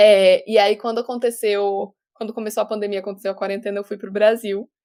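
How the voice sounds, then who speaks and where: A woman's dark, mellow tone at medium pitch, delivered in a monotone, flat intonation. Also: fairly quick pace. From Brazil. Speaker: actress. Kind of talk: casual interview.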